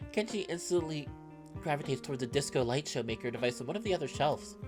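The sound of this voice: A woman's low voice, fast and lively in intonation, with clear music in the background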